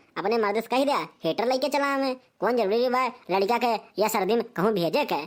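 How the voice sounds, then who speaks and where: A woman performs a cartoonish character voice at a fairly high pitch with lively intonation and a fairly quick pace. The recording is very clean, with a silent background. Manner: bossy, lecturing.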